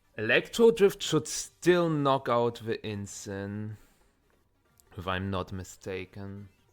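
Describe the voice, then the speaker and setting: Over music in the background, a man speaks at a very slow pace with a fairly low pitch, lively intonation and big swings in loudness. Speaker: streamer playing a card game tournament. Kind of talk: live gameplay stream commentary. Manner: quiet, focused.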